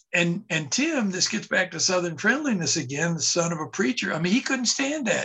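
A raised, projected voice with a bright, sharp tone, very wide pitch swings, a fairly quick pace and hardly any pauses. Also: man, high pitch for a man. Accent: American. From US Midwest, St. Louis. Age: 70s. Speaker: historian. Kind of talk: interview.

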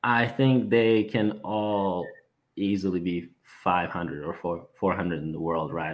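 With a Serbian accent, a man talks at a fairly slow pace. His pitch is fairly low, and his intonation is lively. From Serbia, Belgrade. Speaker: college tennis player. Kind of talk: casual chat.

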